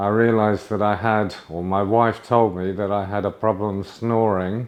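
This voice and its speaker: A man speaks in a British accent at a moderate pace. His pitch is fairly low and his intonation monotone and flat. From UK. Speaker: patient. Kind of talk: testimony. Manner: halting, with fillers.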